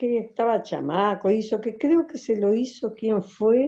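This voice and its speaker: This woman's fairly high pitch carries a dark, mellow tone, with ordinary pitch variation at a fairly slow pace. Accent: Uruguayan. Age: 70s. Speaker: folk dancer and dance teacher. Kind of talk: interview. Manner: halting, many fillers.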